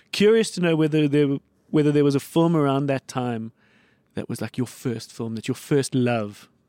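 Speaking with a South African accent, a man has a fairly high pitch, a dark, mellow tone and ordinary pitch variation at a moderate pace. The sound is dry and close with no echo, on a very clean recording with a silent background. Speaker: podcast host. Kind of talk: casual chat.

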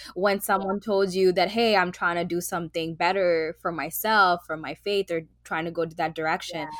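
Over noticeable background noise, a woman with a fairly low voice talks at a fairly quick pace with fairly even intonation and hardly any pauses. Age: 20s. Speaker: podcast co-host. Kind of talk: casual chat.

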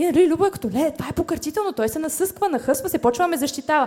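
The woman's lively intonation carries her very fast speech. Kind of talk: stand-up comedy roast set. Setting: stage with live audience.

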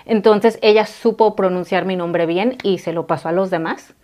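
This woman has a normal speaking voice at a medium pitch, with ordinary pitch variation. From Mexico, raised in California and Texas from age 7. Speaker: working mother, immigrant. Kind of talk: interview.

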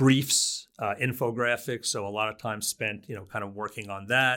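This man has a bright, sharp tone and an American accent. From New Jersey, US. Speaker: social work research center director. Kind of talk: interview.

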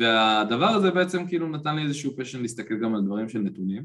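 A man speaks at a medium pitch with lively intonation in an ordinary speaking voice. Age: 20s. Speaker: football analyst. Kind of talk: casual chat.

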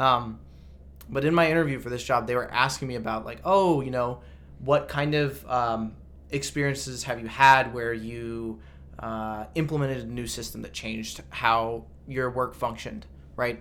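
A man speaks at a moderate pace in a medium pitch with ordinary pitch variation and big swings in loudness. The room echo is audible. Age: 20s. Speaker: biotech salesperson. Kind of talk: casual chat.

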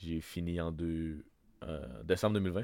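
A man is talking. His pitch is very deep and low. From Wendake, Quebec. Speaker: podcast co-host. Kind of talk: casual chat. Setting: home studio.

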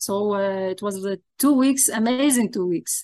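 Against a quiet background, a woman with an Arabic accent speaks at a fairly high pitch with ordinary pitch variation. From Lebanon, Zahlé. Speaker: iconographer. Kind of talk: interview.

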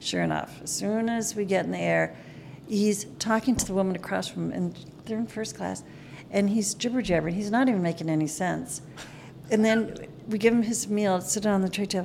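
A woman with an American accent talks at a fairly quick pace in an ordinary speaking voice. Her pitch variation is ordinary. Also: medium pitch for a woman. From Minnesota (Minneapolis). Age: 60s. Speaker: flight attendant. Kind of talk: casual chat, storytelling.

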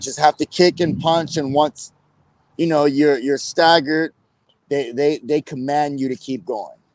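A man speaks at a fairly high pitch and moderate pace, with ordinary pitch variation. It is an unremarkable speaking voice, dry and close with no echo. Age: 40s. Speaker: martial arts champion and gym owner. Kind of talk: interview.

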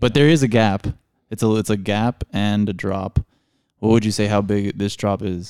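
In a normal speaking voice, a man with an American accent talks at a moderate pace and fairly low pitch, the sound dry and close with no echo. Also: fairly even intonation. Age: 30s. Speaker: podcast host, screen printer and artist. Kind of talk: casual chat.

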